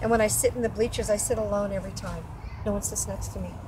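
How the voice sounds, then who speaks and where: A woman talks very fast while noticeable noise fills the background. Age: 60s. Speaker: whistleblower interviewee. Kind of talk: testimony.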